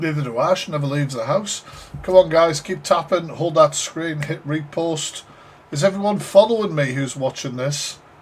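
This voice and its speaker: A man with a northeast English accent speaks at a moderate pace, his voice fairly high with ordinary pitch variation. His loudness swings widely, and there is noticeable background noise. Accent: northeast England. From northeast England, Sunderland. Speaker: live stream reaction host. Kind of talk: casual live stream reaction commentary. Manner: animated.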